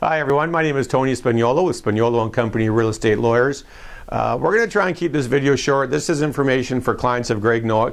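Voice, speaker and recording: A man with a Canadian accent speaks at a very fast pace in a medium pitch. His loudness stays very even, and his pitch varies in an ordinary way. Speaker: lawyer. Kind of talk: informational video. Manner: casual.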